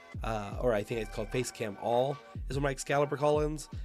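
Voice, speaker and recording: With music behind him, a man delivers his words fairly quickly, his pitch rising and falling in an ordinary way. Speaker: video editor. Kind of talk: tutorial talk to camera.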